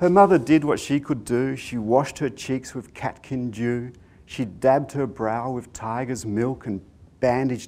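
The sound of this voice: This is an unforced reading voice. It reads through the text.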